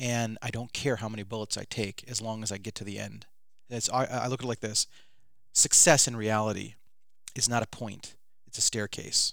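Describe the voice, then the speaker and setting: Speaking fairly quickly, a man with a Midwestern American accent has a medium pitch. The recording is very clean, with a silent background. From Michigan, Detroit suburbs. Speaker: filmmaker. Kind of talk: interview. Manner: animated.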